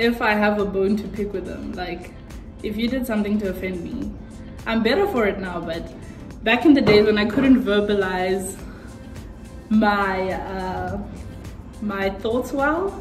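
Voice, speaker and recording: A woman at a fairly slow pace with ordinary pitch variation and long, frequent pauses, over clear music in the background. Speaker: vlogger. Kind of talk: casual vlog chat. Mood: cheerful, laughing. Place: home room. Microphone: phone near.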